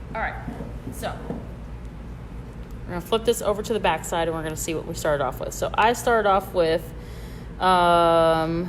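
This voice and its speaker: Talking at a moderate pace with long, frequent pauses, a woman has a slight Southern US accent. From Michigan. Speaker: bead store instructor. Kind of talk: live tutorial. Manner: casual, hesitant with fillers.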